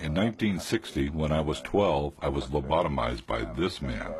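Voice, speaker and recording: At a moderate pace, a man with an American accent speaks in a very deep, low pitch with vocal fry and lively intonation. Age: 50s. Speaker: documentary narrator, lobotomy survivor. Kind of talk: testimony; scripted narration.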